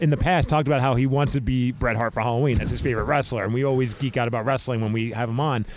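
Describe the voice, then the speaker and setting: At a very fast pace and medium pitch, a man with a New York accent sounds animated, keeping very even loudness and hardly any pauses. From New York (Brooklyn). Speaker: podcast host. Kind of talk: casual interview. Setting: radio row at event.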